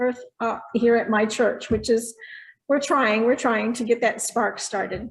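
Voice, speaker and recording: A woman is speaking. She has an American accent. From St. Louis, Missouri. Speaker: church women's group leader. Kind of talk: group introductions on video call. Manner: halting.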